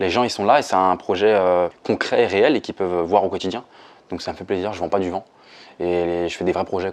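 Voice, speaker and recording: A man talks at a fairly quick pace in a very deep, low voice. His intonation stays fairly even. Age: 20s. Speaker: building renovation salesman. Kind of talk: interview testimony. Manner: hesitant, many fillers; casual.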